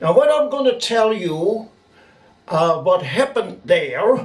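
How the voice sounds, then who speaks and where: This man's voice sits high for a man, swinging very widely in pitch as he talks at a fairly slow pace. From Netherlands, Rotterdam. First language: Dutch. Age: 70s. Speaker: eyewitness storyteller. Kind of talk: testimony.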